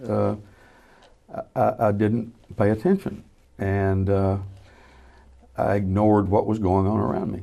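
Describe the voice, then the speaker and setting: In a Southern US accent, a man speaks at a fairly slow pace with a fairly low pitch and a dark, mellow tone. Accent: Southern US (Georgia). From US South (Georgia). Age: 70s. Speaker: former state legislator. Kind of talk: casual chat.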